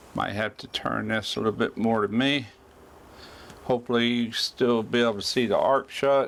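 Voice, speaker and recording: The delivery keeps a middling tempo, its intonation flat and unvarying. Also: man, medium pitch for a man. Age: 60s. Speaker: welding YouTuber. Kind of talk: tutorial. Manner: casual.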